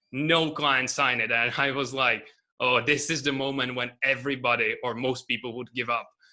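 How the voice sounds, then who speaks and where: With a non-native accent, a man talks at a moderate pace and medium pitch, his tone bright and sharp and his intonation fairly even. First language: not English. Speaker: agency owner, coaching student. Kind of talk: interview. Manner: halting.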